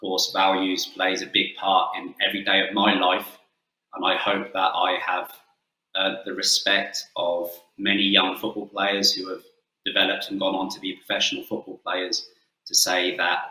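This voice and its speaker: In an English accent, this man talks at a moderate pace. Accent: English-sounding. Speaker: football coach. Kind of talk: webinar presentation; interview answer.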